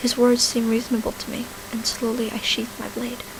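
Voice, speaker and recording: Against noticeable background noise, a soft-spoken woman talks in a calm tone at a fairly high pitch. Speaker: YouTuber who usually makes Minecraft and singing videos. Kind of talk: ASMR audiobook-style reading of a fantasy story with dialogue. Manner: soft-spoken, quiet, calm.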